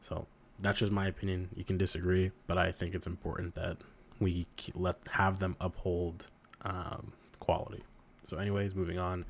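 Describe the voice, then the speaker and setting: Very deep and low, a man's voice holds a monotone, flat intonation. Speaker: figure collector YouTuber. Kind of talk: casual vlog commentary. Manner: fast; halting, filler words.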